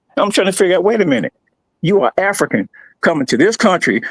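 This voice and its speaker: The sound is dry and close with no echo as a man speaks with vocal fry and very wide pitch swings. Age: 70s. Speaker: caller on a livestream debate. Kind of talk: heated debate. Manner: halting, frequent stutters and repetitions.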